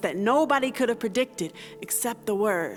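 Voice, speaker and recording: With music in the background, a woman speaks at a fairly high pitch and ordinary pitch variation. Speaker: spoken word poet. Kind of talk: spoken word poetry performance.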